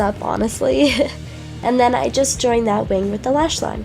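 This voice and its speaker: Music behind a woman talking at moderate speed. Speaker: makeup artist. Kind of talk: makeup tutorial voice-over.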